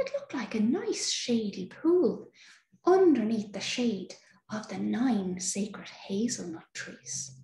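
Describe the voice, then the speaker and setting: Speaking at a very slow pace, a woman uses a soothing, gentle tone. Audible room echo surrounds her voice. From Ireland. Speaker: storyteller. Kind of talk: fairy-tale storytelling, bedtime story. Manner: soothing, slow, gentle, warm. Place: home room. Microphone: webcam.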